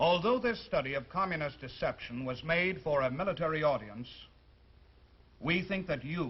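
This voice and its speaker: A man talks in a plain, everyday voice at a moderate pace. His pitch is fairly high, with lively intonation. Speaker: army sergeant, TV host. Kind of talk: TV program introduction.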